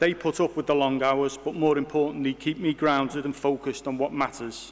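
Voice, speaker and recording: A fairly high-pitched male voice at a fairly quick pace, with monotone, flat intonation. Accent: Liverpool. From Liverpool, Bootle. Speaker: university vice-chancellor. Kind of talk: formal inauguration speech. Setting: hall with audience.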